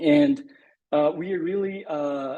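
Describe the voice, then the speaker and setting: A man with a Brazilian Portuguese accent and a dark, mellow tone. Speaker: conservation scientist. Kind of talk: presentation.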